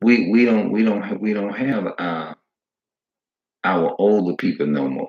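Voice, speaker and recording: A man with a fairly low voice talks with ordinary pitch variation and long, frequent pauses. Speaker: religious video preacher. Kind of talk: preaching monologue. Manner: loud; repetitive, halting.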